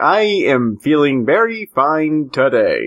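A man puts on a character voice with a fairly high pitch. He talks at a fairly slow pace.

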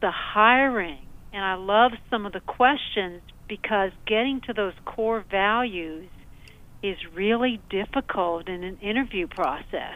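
A woman uses a normal speaking voice at a medium pitch, speaking at a fairly slow pace with ordinary pitch variation. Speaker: caller. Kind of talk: call-in radio comment. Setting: phone call.

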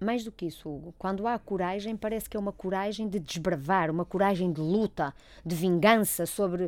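Moderately paced, medium-pitched speech from a woman, a normal speaking voice. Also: ordinary pitch variation. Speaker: clinical psychologist. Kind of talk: casual chat. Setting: studio.

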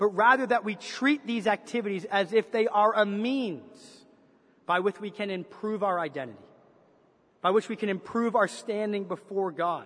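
A man's high-pitched voice at a moderate pace, with a slight Canadian accent and ordinary pitch variation. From Canada. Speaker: pastor. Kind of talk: sermon. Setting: church.

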